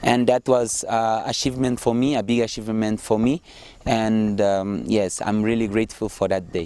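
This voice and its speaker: This man has a dark, mellow tone and medium pitch. He talks at a moderate pace with fairly even intonation. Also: very even loudness. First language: not English. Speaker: social entrepreneurship student. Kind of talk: interview testimony. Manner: hesitant, many fillers.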